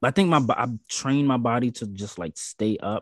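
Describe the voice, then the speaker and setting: Recorded dry and close with no echo and a quiet background, a man with an American accent speaks in a plain, everyday voice at a medium pitch, a moderate pace and ordinary pitch variation. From US South. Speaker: podcast guest. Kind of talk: casual chat.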